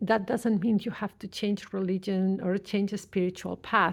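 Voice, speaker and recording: Recorded very cleanly against a silent background, a woman speaks in a plain, everyday voice. Her pitch is medium with ordinary variation, and her pace is fairly slow. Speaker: tarot reader. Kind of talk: tarot reading.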